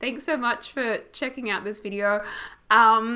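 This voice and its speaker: Speaking at a fairly slow pace, a woman has a bright, sharp tone and a fairly high pitch. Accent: Australian. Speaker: gaming YouTuber. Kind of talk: casual chat.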